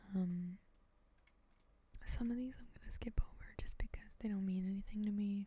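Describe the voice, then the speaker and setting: Soft-spoken and at a moderate pace, the speaker leaves long, frequent pauses. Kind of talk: soft-spoken ASMR gameplay commentary. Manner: soft-spoken, casual, conversational.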